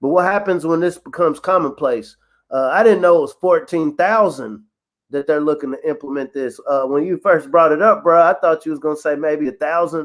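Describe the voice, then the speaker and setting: Against a quiet background, a man speaks fairly quickly at a fairly high pitch with ordinary pitch variation. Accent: Kentucky. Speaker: podcast co-host. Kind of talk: casual chat. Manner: animated.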